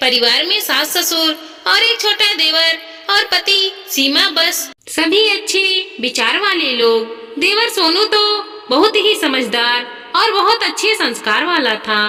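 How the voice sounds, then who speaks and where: Amid light background noise, a woman with an extremely high pitch and very wide pitch swings speaks fairly slowly at a very even loudness, with hardly any pauses. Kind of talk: moral story narration. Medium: read story. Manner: steady, gentle.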